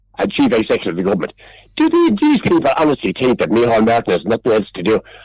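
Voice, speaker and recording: A man with an Irish accent at a very fast pace. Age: 70s. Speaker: regular radio contributor. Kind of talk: heated debate. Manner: animated; halting.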